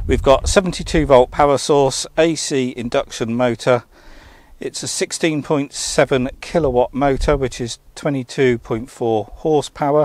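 Over a quiet background, a man speaks at a very slow pace with fairly even intonation, the sound dry with no echo. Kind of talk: casual walkaround commentary. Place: open country. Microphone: phone near.

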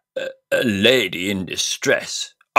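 Someone reads text aloud in a natural voice while the background stays quiet.

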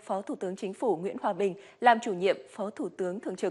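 Against a quiet background, a woman is speaking. Her pace is very fast. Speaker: news anchor. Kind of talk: news reading. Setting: studio. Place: studio. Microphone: lapel.

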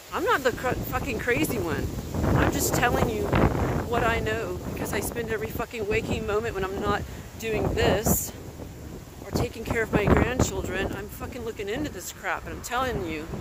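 A man speaks at a moderate pace in a dry sound with no echo, with loud background noise around him. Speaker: vlogger walking a dog. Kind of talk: angry casual vlog rant. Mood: angry, agitated. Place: street. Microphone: phone near.

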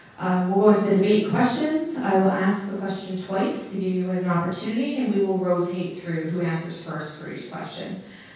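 A woman talks at a fairly quick pace with hardly any pauses. Her pitch varies in an ordinary way, and the room echo is strong. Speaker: debate moderator. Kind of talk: event moderation explaining format. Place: stage.

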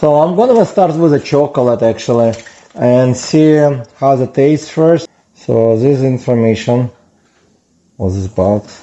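A man speaks at a fairly slow pace. He leaves long, frequent pauses. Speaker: product reviewer. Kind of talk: casual unboxing review. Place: kitchen. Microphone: camera far.

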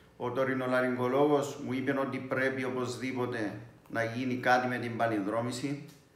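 The voice moves at a fairly slow pace amid audible room echo. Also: man. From Cyprus. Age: 50s. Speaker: priest, patient. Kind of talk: patient testimony. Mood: calm, measured. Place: home room. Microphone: phone near.

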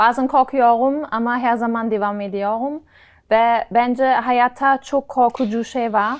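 At a very slow pace, a woman with a German accent and high pitch speaks on a very clean recording with a silent background. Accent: German-accented Turkish. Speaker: travel content creator. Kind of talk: casual interview chat. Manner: animated, laughs often.

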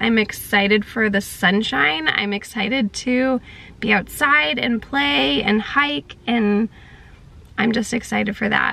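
Recorded with a dry sound and no echo, a woman is speaking. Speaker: vlogger. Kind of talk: casual vlog chat. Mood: reflective, gently upbeat. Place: car. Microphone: phone near.

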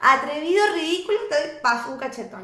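The tone is animated, with very wide pitch swings and a fairly quick pace. Noticeable background noise runs underneath. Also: woman. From Argentina. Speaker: reality TV contestant; podcast guest. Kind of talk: casual interview. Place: studio.

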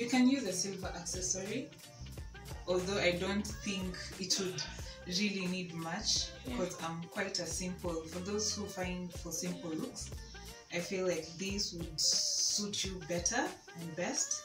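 A woman speaks at a fairly slow pace. Clear music plays in the background. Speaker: fashion vlogger. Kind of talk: casual outfit presentation. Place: home room. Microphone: camera far.

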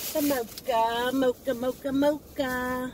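The recording has light background noise and a dry sound with no echo. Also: woman. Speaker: haul vlogger. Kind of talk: casual vlog chat. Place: car. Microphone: phone near.

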